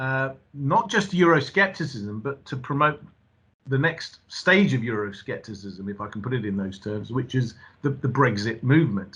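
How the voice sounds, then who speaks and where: A man of medium pitch with a British accent, lively intonation and a moderate pace against a quiet background. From England. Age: 50s. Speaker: university lecturer. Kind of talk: lecture. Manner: halting.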